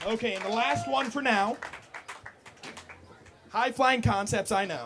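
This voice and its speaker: This man's voice sits high in pitch. He talks at a fairly slow pace over noticeable background noise. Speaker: spoken word poet. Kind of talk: casual talk to audience. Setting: live coffee house open mic.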